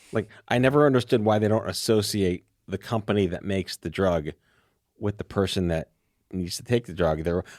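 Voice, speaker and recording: In a very clean recording with a silent background and a dry, close sound with no echo, a man with an ordinary speaking voice talks at a fairly quick pace, fairly low in pitch, with ordinary pitch variation. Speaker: podcast host. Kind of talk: casual podcast conversation.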